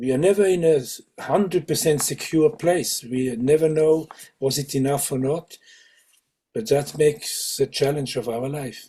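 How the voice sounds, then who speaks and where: A man talks at a moderate pace in a somewhat breathy, dark, mellow tone, his fairly high pitch moving with ordinary variation. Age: 70s. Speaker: Sufi teacher. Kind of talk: interview conversation. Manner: halting, with many fillers and restarts.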